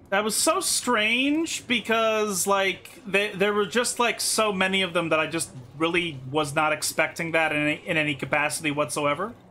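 A man speaks at a moderate pace in a raised, projected voice with high pitch and very even loudness. He barely pauses, and noticeable background noise is present. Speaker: gaming streamer. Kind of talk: live gameplay commentary. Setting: home stream setup.

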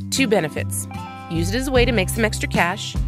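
An upbeat tone at a moderate pace, with music in the background. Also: woman. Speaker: radio host. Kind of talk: radio host aircheck, music introductions. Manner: polished, upbeat, conversational.

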